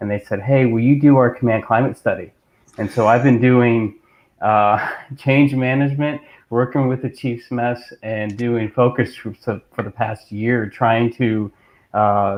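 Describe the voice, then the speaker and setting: Using a plain, everyday voice, a man speaks fairly slowly at a medium pitch with fairly even intonation. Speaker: coast guard reservist and leadership coach. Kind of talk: casual chat.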